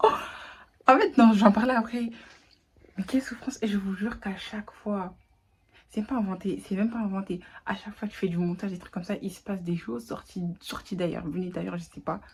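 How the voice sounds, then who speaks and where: Talking at a fairly quick pace, a woman with a somewhat breathy, medium-pitched voice leaves long, frequent pauses and swings widely in loudness. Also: ordinary pitch variation. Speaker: vlogger. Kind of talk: casual vlog chat. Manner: mixes French with English.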